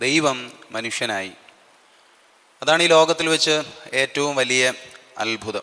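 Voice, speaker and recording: A man with a fairly high pitch and ordinary pitch variation talks in an unremarkable speaking voice. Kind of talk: sermon, Bible exposition.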